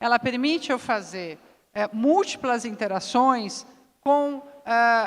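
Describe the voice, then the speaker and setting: This is a woman with a fairly high voice. Her pitch varies in an ordinary way. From southern Brazil, Curitiba. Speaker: business executive, panelist. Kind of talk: panel discussion.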